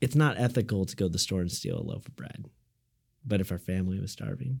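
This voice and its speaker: On a very clean recording with a silent background, a somewhat breathy man speaks with an American accent and ordinary pitch variation. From Illinois, US Midwest. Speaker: design studio co-founder. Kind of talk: casual interview.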